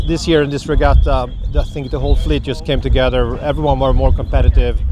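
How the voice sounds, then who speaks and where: A man at a fairly quick pace, in a dry sound with no echo, over noticeable background noise. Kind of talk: interview answer. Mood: pleased, reflective. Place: waterside.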